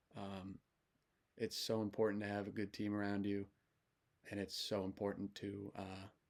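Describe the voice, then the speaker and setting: This man's voice is fairly low and monotone, with flat intonation. He keeps a moderate pace but leaves long, frequent pauses. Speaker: baseball coach. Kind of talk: casual motivational monologue. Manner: halting, many fillers.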